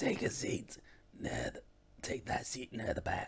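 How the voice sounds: Using a raspy, put-on character voice, a man talks at a medium pitch. His delivery is fairly slow.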